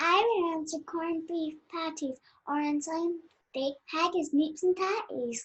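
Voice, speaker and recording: In a put-on character voice, squeaky and at an extremely high pitch, the speaker goes at a fairly slow pace. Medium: stage play.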